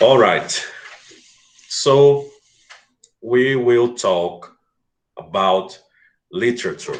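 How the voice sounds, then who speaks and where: A man with a Portuguese accent, at a very slow pace with long, frequent pauses, amid audible room echo. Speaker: English teacher. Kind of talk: online class lecture. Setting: live video stream.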